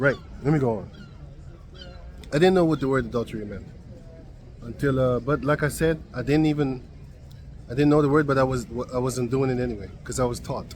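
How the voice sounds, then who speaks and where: A man with a non-native accent, medium pitch and ordinary pitch variation, at a fairly quick pace broken by long, frequent pauses. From Suriname. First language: not English. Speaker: Bible teacher. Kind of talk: bible study talk. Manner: halting; casual.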